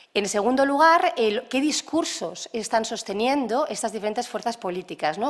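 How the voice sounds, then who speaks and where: Her pitch rises and falls in very wide swings. The woman moves at a fairly quick pace. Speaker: lecturer. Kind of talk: lecture. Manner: fast.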